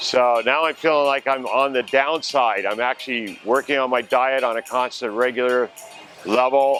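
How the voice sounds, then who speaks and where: Music plays in the background. Over it, a man talks at a moderate pace with a medium pitch. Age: 60s. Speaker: weight-loss surgery patient. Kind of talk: testimony.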